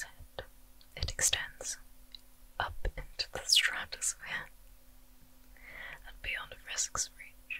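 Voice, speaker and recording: Whispering, a woman goes at a very slow pace. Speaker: ASMR creator. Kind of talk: ASMR storytelling. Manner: whispered. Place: home room. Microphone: studio mic.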